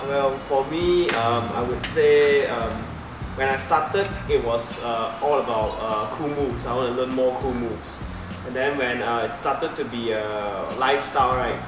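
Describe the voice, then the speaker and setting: A man speaks at a moderate pace with ordinary pitch variation. Music plays in the background, and the room echo is audible. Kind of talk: interview answer. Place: hall. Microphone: camera far.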